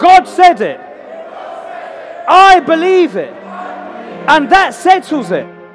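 A man's voice with ordinary pitch variation over faint background music. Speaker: evangelist, tent revival preacher. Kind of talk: live preaching and altar call at a revival meeting. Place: tent.

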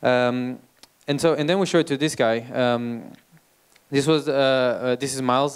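Intonation stays fairly even as a man talks in a Portuguese accent. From Portugal. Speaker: startup founder and CEO. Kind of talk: talk to audience. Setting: stage with audience. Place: stage. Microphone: handheld.

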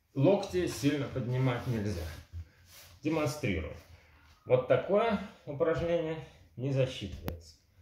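A man talks at a fairly slow pace with very wide pitch swings, with audible room echo and light background noise. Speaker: kettlebell trainer. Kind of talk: tutorial. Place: home room. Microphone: camera far.

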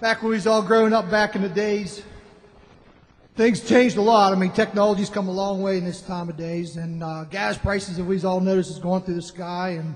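Speaking at a fairly quick pace, a man uses a high pitch and fairly even intonation. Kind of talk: song introduction to audience. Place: cafe.

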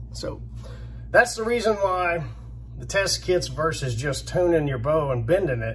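A man talks at a fairly slow pace, leaving long, frequent pauses. The room echo is audible. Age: 50s. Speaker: bowhunting YouTuber. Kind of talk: casual monologue.

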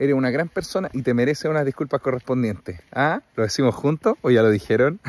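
Very fast speech in a Chilean accent with lively intonation. The sound is dry, with no echo. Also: man, medium pitch for a man. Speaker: podcast host and comedian; podcast host, comedian. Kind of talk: casual chat. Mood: cheerful, joking.

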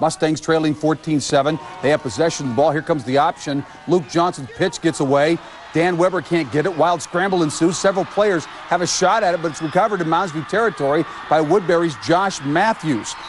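A man speaks at a fairly quick pace in a fairly high pitch, with ordinary pitch variation. Noticeable background noise runs behind him. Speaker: sports highlights announcer. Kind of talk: live-style sports commentary voiceover over game highlights. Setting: studio voiceover. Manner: fast, punchy, energetic play-by-play delivery.

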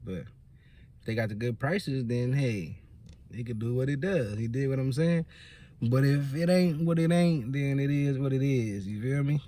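Somewhat breathy and dark, mellow in tone, a man's voice moves at a moderate pace with ordinary pitch variation. The sound is dry with no echo. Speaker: vlogger. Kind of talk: casual vlog chat. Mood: relaxed, playful, laughing. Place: car. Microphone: phone near.

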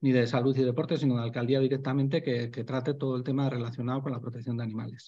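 This man talks at a very fast pace. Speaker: animal welfare association member; presenter. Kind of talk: online panel talk. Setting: video call. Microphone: video call.

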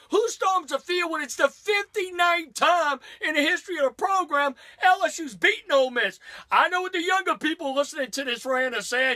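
A man with an American accent speaks at a moderate pace in a raised, projected voice that is extremely high in pitch, bright and sharp in tone, with lively intonation and an animated delivery over a quiet background. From US South, Louisiana. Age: 50s. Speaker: sports radio host. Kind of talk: angry comedic rant about college football fans. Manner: animated, indignant, sarcastic. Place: studio. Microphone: camera far.

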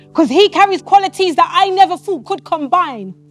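A woman with an extremely high pitch speaks in a dry sound with no echo, faint music playing in the background. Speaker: spoken word poet. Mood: devotional, earnest. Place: studio.

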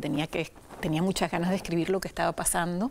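A woman's fairly low-pitched voice, fairly even in intonation, over light background noise. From Venezuela. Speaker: writer. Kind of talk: interview. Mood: warm, reflective. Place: studio. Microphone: lapel.

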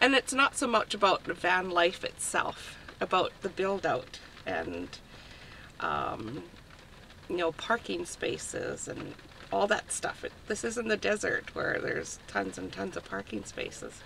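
A woman talks fairly slowly, with noticeable background noise behind her. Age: 60s. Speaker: retiree living in a van. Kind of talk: casual interview. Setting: inside a parked van.

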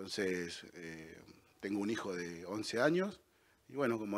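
An ordinary speaking voice from a man, fairly low in pitch with ordinary pitch variation. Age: 40s. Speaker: political candidate, construction worker; candidate. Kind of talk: campaign statement. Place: studio. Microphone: handheld.

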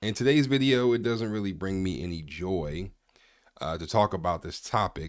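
A fairly quick pace against a quiet background, with a dry sound and no echo. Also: man. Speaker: reaction commentary youtuber. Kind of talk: commentary. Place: home room. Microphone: studio mic.

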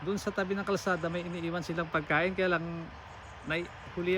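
A man's high-pitched voice, very fast and in a flat monotone. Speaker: truck driver vlogger. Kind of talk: casual vlog tour narration. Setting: outdoors at a farm. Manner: halting.

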